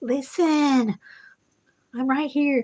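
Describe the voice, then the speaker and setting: In a put-on character voice, a woman speaks at a high pitch. She is soft-spoken. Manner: soft, wafting.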